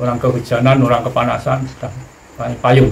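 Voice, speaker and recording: Noticeable background noise and audible room echo accompany a man speaking at a medium pitch. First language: Javanese (speaking Indonesian). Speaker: spiritual teacher. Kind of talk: spiritual teaching talk.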